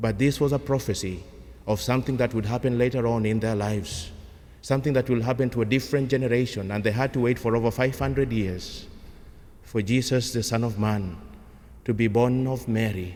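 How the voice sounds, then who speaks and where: There is audible room echo as a man speaks at a fairly quick pace, medium-pitched, in a dark, mellow tone. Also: ordinary pitch variation. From Kenya. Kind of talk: sermon.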